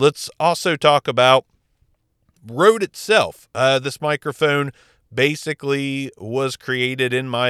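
Recorded very cleanly against a silent background, a man's bright, sharp voice moves at a fairly slow pace with a dry, close sound and no echo. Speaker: podcast host reviewing audio gear. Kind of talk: gear review talk. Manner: casual, conversational.

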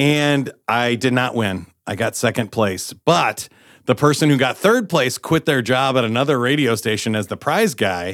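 In a normal speaking voice, a man talks at a medium pitch with lively intonation. The recording is very clean, with a silent background. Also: moderate pace. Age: 40s. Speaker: game show host and public speaker. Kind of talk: casual interview.

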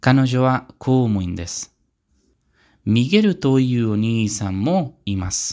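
A man speaks at a very slow pace in a Spanish accent, his medium pitch carried by lively intonation. The recording is very clean, with a silent background. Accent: Spanish-accented Japanese. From Spain, Pamplona. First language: Spanish (speaking Japanese). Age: 20s. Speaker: language learner podcaster. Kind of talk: self-introduction monologue. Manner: careful, learner-paced.

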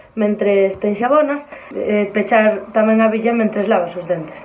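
Noticeable background noise sits behind a woman's fairly high-pitched voice. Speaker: sustainability contributor. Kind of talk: tips segment.

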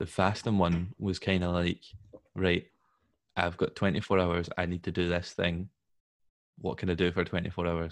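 A man with a very deep, low voice talks at a moderate pace in a flat monotone against a quiet background. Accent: Scottish. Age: 20s. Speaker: podcast host, civil engineer. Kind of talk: casual interview chat.

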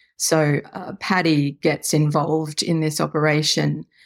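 Very deep and low in pitch, a woman with an Australian accent speaks at a very slow pace. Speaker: novelist. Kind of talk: casual interview chat.

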